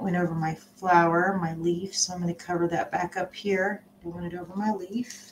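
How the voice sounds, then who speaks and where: Over light background noise, a woman speaks at a fairly low pitch and a moderate pace with fairly even intonation. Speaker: art instructor. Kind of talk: tutorial. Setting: home live stream. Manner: casual, halting with fillers. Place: home room. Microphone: webcam.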